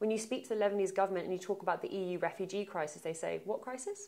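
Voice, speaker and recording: A woman with a London accent speaks at a medium pitch with ordinary pitch variation. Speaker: aid organization advocacy director. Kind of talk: interview.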